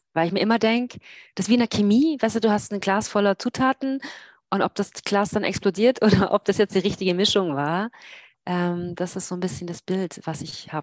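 Against a quiet background, a woman speaks in a normal speaking voice at a fairly quick pace with a medium pitch and ordinary pitch variation, the sound dry and close with no echo. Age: 40s. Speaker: long-distance cyclist and blogger. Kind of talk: casual interview. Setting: video call from home office.

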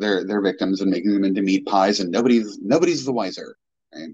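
At a fairly quick pace, a man with an unremarkable speaking voice talks with a fairly low pitch and ordinary pitch variation. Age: 40s. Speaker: podcast guest, horror fan. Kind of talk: casual chat.

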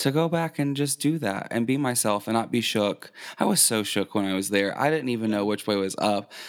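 A man with an American accent and a plain, everyday voice, at a fairly quick pace with hardly any pauses and ordinary pitch variation. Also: medium pitch for a man, very even loudness. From southern Indiana near Louisville, Kentucky. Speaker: drag queen. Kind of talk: casual interview.

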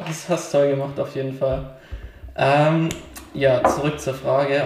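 Amid noticeable background noise and audible room echo, a man speaks fairly slowly with fairly high pitch and fairly even intonation. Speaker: podcast co-host. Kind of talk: casual chat. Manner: hesitant, lots of fillers.

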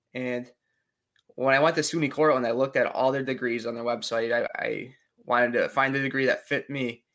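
Here is a man with a normal speaking voice at medium pitch. He talks at a fairly quick pace with fairly even intonation. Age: 20s. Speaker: recreational therapist. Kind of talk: interview.

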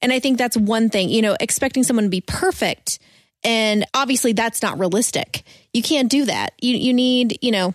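A woman with a plain, everyday voice speaks at a moderate pace in a fairly high pitch, her loudness very even, in a dry, close recording with no echo. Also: ordinary pitch variation. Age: 20s. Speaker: podcast co-host. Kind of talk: casual chat.

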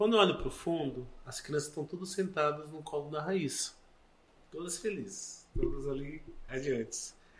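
With a normal speaking voice, a man talks at a moderate pace, his fairly high pitch varying in an ordinary way while his loudness swings widely. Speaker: missionary and adoptive father. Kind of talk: testimony.

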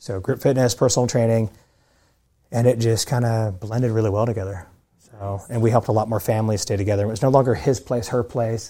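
Very fast and somewhat breathy, a man talks at a medium pitch with fairly even intonation and a dark, mellow tone. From California, moved to north Texas as a young man. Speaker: fitness trainer and gym owner. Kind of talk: casual interview.

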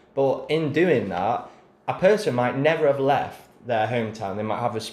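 Lively intonation marks this man's speech, with an English accent. His pace is moderate. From England. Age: 20s. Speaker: podcast host. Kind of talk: casual chat.

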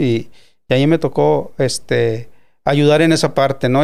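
A man speaks with ordinary pitch variation. His voice is fairly high. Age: 60s. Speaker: radio director and producer. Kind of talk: interview.

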